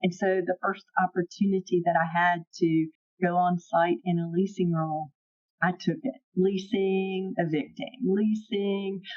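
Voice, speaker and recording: With a Southern US accent, the speaker keeps a very even loudness and a fairly slow pace. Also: woman, medium pitch for a woman, ordinary pitch variation. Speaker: property management executive. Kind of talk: podcast interview.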